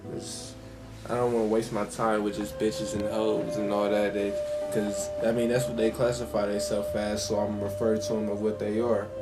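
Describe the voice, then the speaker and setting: A man speaks at a fairly low pitch with fairly even intonation while music plays in the background. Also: moderate pace. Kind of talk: casual talk to camera.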